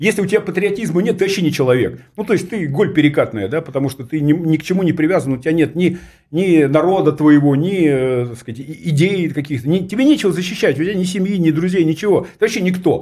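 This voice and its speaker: A man speaks very fast in a high pitch with a dark, mellow tone. The recording is very clean, with a silent background. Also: ordinary pitch variation. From Russia, region about 200 km from Moscow. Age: 50s. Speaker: political theorist. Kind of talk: studio interview. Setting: studio.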